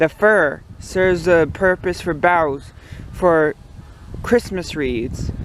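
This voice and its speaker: A man with a high pitch talks at a very slow pace, with ordinary pitch variation. Noticeable background noise runs underneath. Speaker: maple syrup farmer. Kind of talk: casual outdoor tutorial. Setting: outdoors in snowy woods. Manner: stuttering.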